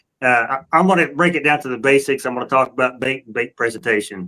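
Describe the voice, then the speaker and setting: A very fast-paced man with a Southern US accent and ordinary pitch variation. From US South. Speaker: catfishing angler and podcast co-host. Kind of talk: casual chat. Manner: halting, many restarts.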